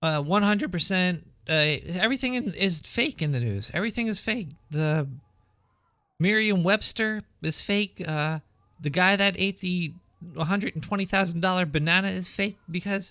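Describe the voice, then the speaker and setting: Projected and raised, a man's voice rings out high, bright, sharp and shrill at a moderate pace. His pitch varies in an ordinary way, and the recording is very clean with a silent background. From New York, Brooklyn. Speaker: radio show host. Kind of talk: casual talk radio monologue. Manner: halting, repeats words.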